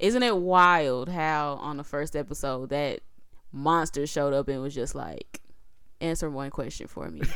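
This woman has a very deep, low pitch, ordinary pitch variation and a moderate pace. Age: 30s. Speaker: podcast co-host and editor. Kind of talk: casual chat. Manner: animated.

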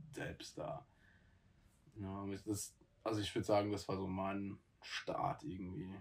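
Very slow and full of long, frequent pauses, a man speaks in a fairly low pitch. His voice is somewhat breathy. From South Africa. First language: not German (speaking German). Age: 20s. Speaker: podcast co-host, trainee. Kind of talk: casual chat.

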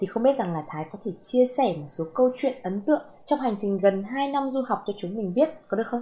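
A woman's fairly high, somewhat breathy voice with a dark, mellow tone, lively intonation, a fairly quick pace and hardly any pauses. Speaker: podcast host. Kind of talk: casual interview.

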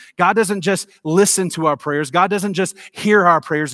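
Over a very clean recording with a silent background, a man with a Tennessee accent speaks at a high pitch with ordinary pitch variation. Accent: Southern US (Tennessee). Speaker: pastor. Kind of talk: sermon. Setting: church.

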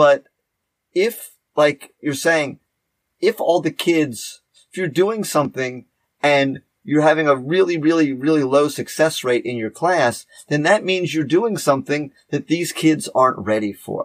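On a very clean recording with a silent background and a dry, close sound with no echo, a man with a normal speaking voice talks at a fairly slow pace, with a fairly high pitch and ordinary pitch variation. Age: 50s. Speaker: podcast host, teacher. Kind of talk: casual chat.

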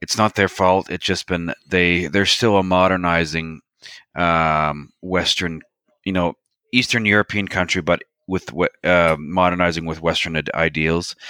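With a Maritime Canadian accent, a man speaks fairly slowly in a very deep, low voice with a bright, sharp tone. His intonation is fairly even, and the sound is dry and close with no echo. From Canada, New Brunswick. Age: 30s. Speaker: military historian and woodworker. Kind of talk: interview.

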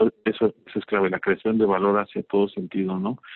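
At a fairly quick pace, a man with a fairly low voice speaks in a monotone, flat intonation. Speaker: marketing manager. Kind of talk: interview. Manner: halting, repeats words.

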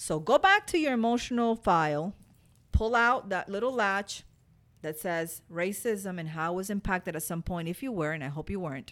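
In a Spanish accent, a woman speaks at a moderate pace and medium pitch with an animated tone and lively intonation. The recording is very clean, with a silent background. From Cuba. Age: 40s. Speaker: podcast host. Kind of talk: motivational monologue.

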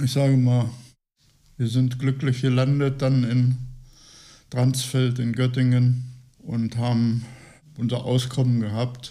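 Through audible room echo, a man with a dark, mellow tone and medium pitch speaks at a very slow pace, monotone and flat, with long, frequent pauses. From Lower Saxony, Gifhorn. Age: 80s+. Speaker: retiree. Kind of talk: interview.

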